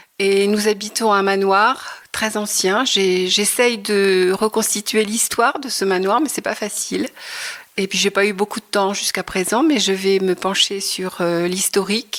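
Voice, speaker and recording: A woman speaks at a medium pitch and a fairly slow pace. Her intonation is fairly even. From Normandy, Le Havre. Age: 60s. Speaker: retired textile artist. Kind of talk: interview. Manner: hesitant, many fillers.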